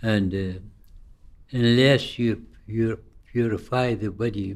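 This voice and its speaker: A man at a medium pitch talks at a very slow pace with fairly even intonation. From Iraq. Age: 80s+. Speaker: Sufi teacher. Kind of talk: interview answer.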